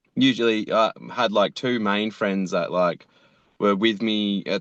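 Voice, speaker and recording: Over a quiet background, a man with an Australian accent speaks at a moderate pace in a fairly low pitch with fairly even intonation, the sound dry and close with no echo. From Australia, Tweed Heads NSW. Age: 30s. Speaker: animator and voice actor. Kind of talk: casual interview. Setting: video call from his car. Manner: halting, casual.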